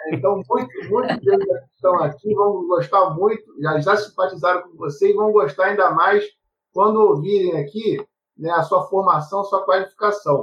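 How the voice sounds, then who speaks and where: A man's high-pitched voice at a moderate pace, with ordinary pitch variation and big swings in loudness. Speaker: university professor, moderator. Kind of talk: webinar moderation.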